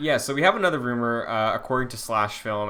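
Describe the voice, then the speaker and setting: In an American accent, a man talks with a bright, sharp tone. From New England. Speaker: podcast host. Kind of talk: casual chat. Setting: remote call.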